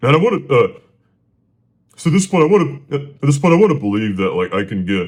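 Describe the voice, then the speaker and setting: Speaking very fast yet with long, frequent pauses, a man uses vocal fry and very wide pitch swings. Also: fairly high pitch for a man. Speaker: solo podcaster. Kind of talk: casual storytelling monologue. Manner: stuttering, many fillers; halting, repetitive.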